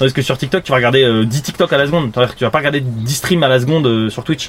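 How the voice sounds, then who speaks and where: Against noticeable background noise, a man speaks in a fairly high voice with ordinary pitch variation. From Île-de-France, France. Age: 30s. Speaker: streamer. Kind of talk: live stream chat. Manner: animated.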